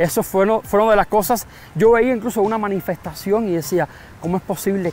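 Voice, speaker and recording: Pitch sits high for this man, and it varies an ordinary amount. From Cuba, San Antonio de los Baños area. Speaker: Cuban immigrant interviewee. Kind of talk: interview. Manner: speaks slower than typical Cuban speech.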